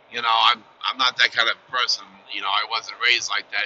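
The speech moves at a fairly quick pace. Light background noise sits under a dry sound with no echo. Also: man. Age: 50s. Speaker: truck driver vlogger. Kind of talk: casual vlog monologue. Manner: halting, many fillers. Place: car.

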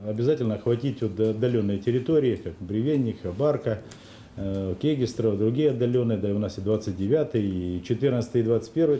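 A man's voice at a moderate pace, with ordinary pitch variation and light background noise. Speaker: city mayor. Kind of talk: interview answer. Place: meeting room. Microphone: podium.

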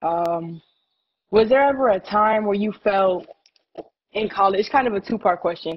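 The speaker goes at a moderate pace, broken by long, frequent pauses. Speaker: student athlete. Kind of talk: classroom Q&A. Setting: video call.

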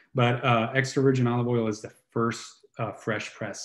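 In a room with audible echo and a quiet background, a man talks at a moderate pace in a monotone, flat intonation. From southern Italy, Puglia (Brindisi); Puglia, Italy. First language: Italian. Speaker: healing coach and musician, co-host; healing coach, co-host. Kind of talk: casual chat. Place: home room.

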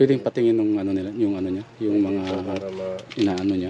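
Speech comes at a fairly quick pace with monotone, flat intonation. Background noise is noticeable. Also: man. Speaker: vlogger. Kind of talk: walking vlog with appeal for help.

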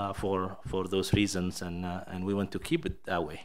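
Speaking with a Somali accent, a man keeps a fairly quick pace. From Somalia. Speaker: state education official; presenter. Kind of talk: presentation. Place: hall. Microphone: podium.

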